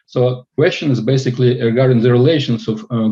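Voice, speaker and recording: A man speaks at a fairly quick pace. His tone is dark and mellow, and somewhat breathy. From Russia (Far East). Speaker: student asking a question. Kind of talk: Q&A question. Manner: halting.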